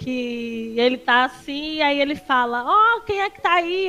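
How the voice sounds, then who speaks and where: Her voice is raised and projected. The woman's pitch swings very widely from low to high. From Northeast Brazil, Paraíba. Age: 30s. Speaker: streamer and social media analyst. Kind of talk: casual chat.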